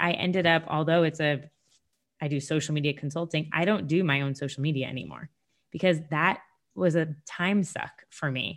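Here is a woman with a normal speaking voice and an American accent, talking at a moderate pace with ordinary pitch variation. The recording is very clean, with a silent background. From Sarasota, Florida. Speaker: business founder. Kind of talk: casual interview.

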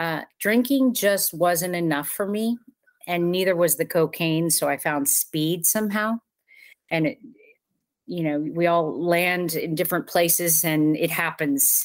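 A woman with a normal speaking voice and an American accent speaks fairly slowly in a fairly low pitch with ordinary pitch variation, on a very clean recording with a silent background. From Southern California. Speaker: recovery advocate and podcaster. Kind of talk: interview.

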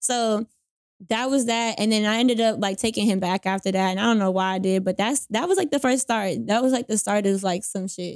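A woman with a Charlotte accent speaks at a fairly quick pace and a fairly high pitch, with ordinary pitch variation, in a dry, close sound with no echo. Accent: Southern US, Charlotte. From Charlotte, North Carolina. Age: 20s. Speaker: poet and author. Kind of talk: casual chat. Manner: casual, slangy.

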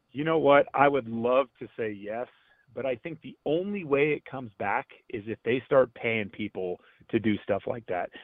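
Speaking with an American accent, a man uses a plain, everyday voice at a moderate pace, with lively intonation and big swings in loudness. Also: medium pitch for a man. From Northern California (Gilroy). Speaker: baseball radio analyst, former player. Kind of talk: radio interview.

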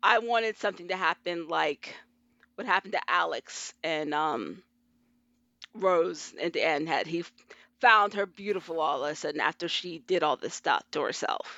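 A woman has an ordinary speaking voice with ordinary pitch variation. Her pitch sits fairly low. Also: moderate pace. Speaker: government analyst and fiction writer. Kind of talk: casual chat.

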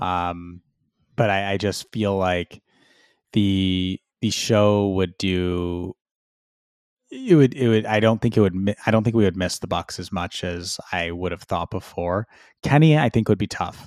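A man speaks in an ordinary speaking voice, fairly low in pitch with ordinary pitch variation, at a fairly slow pace in a dry, close sound with no echo. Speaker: podcast co-host. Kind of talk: casual banter, wrestling podcast discussion.

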